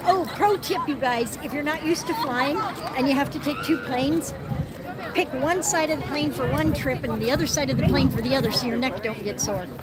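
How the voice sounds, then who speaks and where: Very wide pitch swings in an American accent at a fairly quick pace, with crowd noise in the background and audible room echo. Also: woman, high pitch for a woman. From US Midwest, Nebraska. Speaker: guest on live stream. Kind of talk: casual chat.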